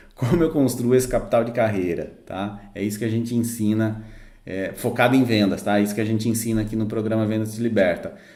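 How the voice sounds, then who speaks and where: A man with a dark, mellow tone and fairly even intonation speaks at a fairly quick pace amid audible room echo. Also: medium pitch for a man. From interior of São Paulo state, Brazil. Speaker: sales consultant and mentor. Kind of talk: online lesson. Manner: hesitant, many fillers.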